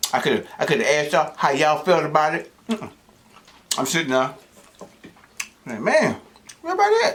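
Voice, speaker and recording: Against noticeable background noise, a man talks at a fairly quick pace but with long, frequent pauses. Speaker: mukbang host. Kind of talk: casual talk to camera.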